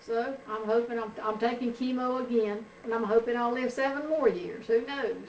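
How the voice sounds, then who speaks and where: With audible room echo and noticeable background noise, a woman speaks in a high pitch at a moderate pace, with hardly any pauses and fairly even intonation. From US South, North Carolina. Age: 70s. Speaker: grandmother being interviewed. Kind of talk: family oral history interview.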